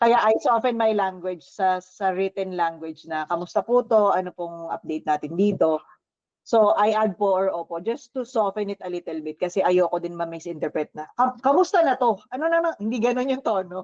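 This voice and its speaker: An ordinary speaking voice from a woman, medium in pitch, at a moderate pace, with a dry, close sound and no echo. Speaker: team leader at a virtual assistant company. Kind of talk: casual team discussion.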